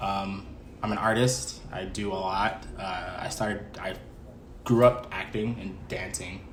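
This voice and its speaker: In an American accent, a man with a fairly low voice speaks at a fairly slow pace with ordinary pitch variation and big swings in loudness, and room echo can be heard. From New York, Mount Vernon. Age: 20s. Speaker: artist, rapper and actor. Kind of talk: casual interview.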